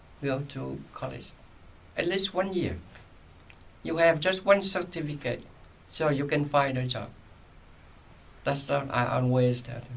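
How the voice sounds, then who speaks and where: A man's fairly high voice with a non-native accent, fairly slow, broken by long, frequent pauses. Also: lively intonation. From Vietnam, Saigon. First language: Vietnamese. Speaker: retired journalist and social worker. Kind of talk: oral history interview. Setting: library recording room.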